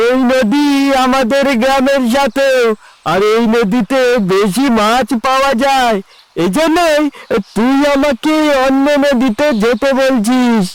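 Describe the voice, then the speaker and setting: This is a cartoonish character voice from a man, pitched extremely high. He speaks at a fairly slow pace. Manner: combative, defiant.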